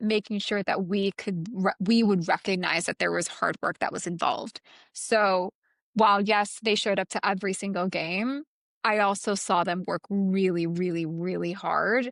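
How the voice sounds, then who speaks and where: A woman with an American accent, medium pitch, moderate pace and fairly even intonation, in a dry, close sound with no echo over a quiet background. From US, immigrant family. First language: not English. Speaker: wellness executive and investor. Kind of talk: podcast interview.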